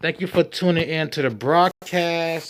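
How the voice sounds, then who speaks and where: A man is talking. His pace is fairly slow. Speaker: YouTube commentary host. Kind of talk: true crime commentary with read-out news. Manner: stumbling over words.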